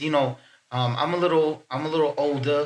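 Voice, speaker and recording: Here a man speaks at a moderate pace in a fairly high pitch. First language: French and Haitian Creole. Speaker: poet. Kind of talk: casual chat. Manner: halting.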